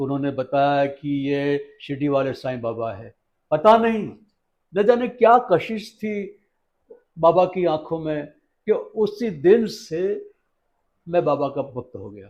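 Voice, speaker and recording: This man speaks with a fairly high pitch, very wide pitch swings and big swings in loudness. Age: 70s. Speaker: devotee. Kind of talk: interview testimony. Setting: at Shirdi.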